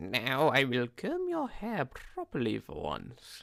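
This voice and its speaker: The speaker is a man doing a put-on character voice. His pace is fairly slow. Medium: read story.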